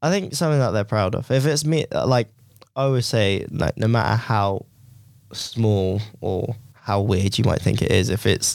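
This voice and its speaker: On a very clean recording with a silent background, a man with a fairly low pitch and vocal fry speaks at a moderate pace with ordinary pitch variation. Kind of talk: casual chat. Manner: halting.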